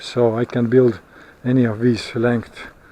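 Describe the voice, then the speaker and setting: Amid noticeable background noise, a man with a non-native accent talks at a fairly slow pace and a medium pitch. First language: not English. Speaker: vlogger. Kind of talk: casual vlog monologue. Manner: halting, many fillers.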